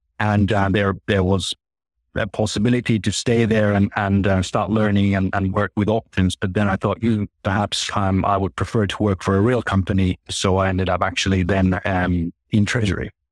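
Speaking at a moderate pace, a man with a Finnish accent holds a fairly low pitch, a flat monotone and very even loudness, in a dry, close sound with no echo on a very clean recording with a silent background. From Finland. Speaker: corporate treasurer. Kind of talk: interview. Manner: halting.

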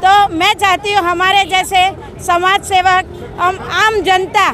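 Over crowd noise in the background, a woman raises and projects her voice, with a dry sound that has no echo. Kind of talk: interview answer. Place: street.

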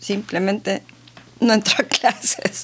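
Ordinary pitch variation in a woman's voice. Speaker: interview guest. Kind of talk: interview answer. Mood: warm, amused. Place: studio. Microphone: studio mic.

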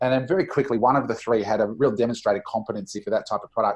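The speaker has an Australian accent and ordinary pitch variation. The background is quiet. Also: man. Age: 40s. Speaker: entrepreneur and business coach. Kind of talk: interview.

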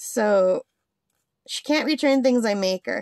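Against a quiet background, a woman talks at a moderate pace with ordinary pitch variation, the sound dry with no echo. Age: 50s. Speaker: crafting YouTuber. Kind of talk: casual chat. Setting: home craft desk. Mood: relaxed, chatty. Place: home room. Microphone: phone near.

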